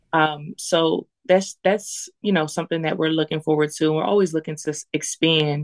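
Her very deep, low pitch and fairly even intonation come through at a moderate pace, with the woman's voice captured as a dry, close sound with no echo on a very clean recording with a silent background. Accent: American. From US Northeast, Lancaster, Pennsylvania. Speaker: spoken word poet and musician. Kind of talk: casual interview.

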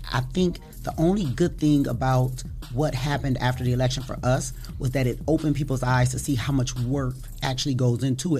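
With an American accent, a woman with a very deep, low pitch speaks at a fairly quick pace and with fairly even intonation, amid audible room echo and noticeable background noise. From Toledo, Ohio. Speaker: elections official. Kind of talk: interview. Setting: studio.

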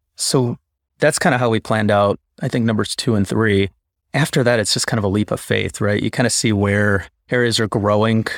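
A man with an American accent and an ordinary speaking voice, fairly low in pitch, at a fairly quick pace with very even loudness, in a dry, close sound with no echo. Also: ordinary pitch variation. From Chicago. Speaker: interventional radiologist. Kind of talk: casual interview. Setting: video call.

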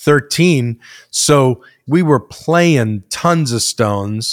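A man with an American accent, the sound dry and close with no echo and the background silent in a very clean recording. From New York / New Jersey. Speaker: music industry veteran, former DJ. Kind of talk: interview storytelling.

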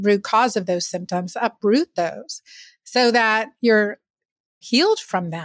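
Speaking very slowly, a woman uses lively intonation at a fairly high pitch. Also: very clean recording, silent background. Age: 50s. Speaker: physician. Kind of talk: interview.

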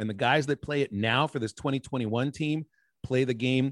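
This man speaks quickly, at a fairly quick pace, with a medium pitch and an unremarkable speaking voice. His intonation stays fairly even. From Pittsburgh, Pennsylvania. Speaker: baseball play-by-play broadcaster. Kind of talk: interview conversation.

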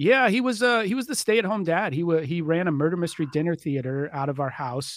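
A high-pitched man with an American accent at a very fast pace, in a very clean recording with a silent background. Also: lively intonation. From Dallas suburbs, Texas. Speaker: author and trauma-support advocate. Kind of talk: interview.

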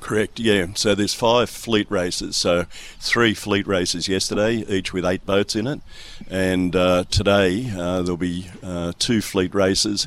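A man speaks in an Australian accent at a fairly low pitch. His pace is fairly slow and his intonation fairly even. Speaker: sailor's father, club member. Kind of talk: casual radio interview. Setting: sailing club, radio segment.

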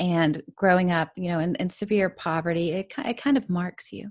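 A woman with a plain, everyday voice, medium in pitch, at a fairly slow pace over a quiet background. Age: 40s. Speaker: author and business coach. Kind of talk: interview.

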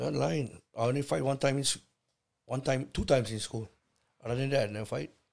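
A man's medium-pitched voice with vocal fry, lively intonation, a fairly quick pace and long, frequent pauses. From Hawaii, Kauai. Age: 50s. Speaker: host's father, first-time podcast guest. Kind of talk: casual chat. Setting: home bedroom.

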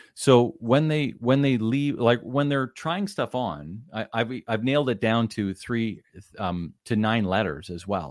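Here is an ordinary speaking voice with a Canadian accent. The pace is fairly slow and the intonation lively. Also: man, medium pitch for a man. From Canada, Ottawa area. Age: 50s. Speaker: business coach. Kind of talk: podcast interview.

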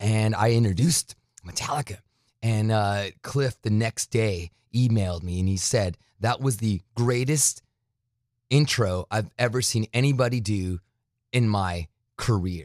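A man with a fairly low pitch speaks in an animated tone at a fairly slow pace, with long, frequent pauses. The sound is dry and close with no echo, in a very clean recording with a silent background. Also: ordinary pitch variation. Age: 40s. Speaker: metal radio host and programmer. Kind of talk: casual interview. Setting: studio.

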